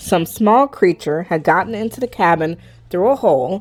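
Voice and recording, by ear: The pitch moves in a lively way. Someone reads aloud in a natural voice.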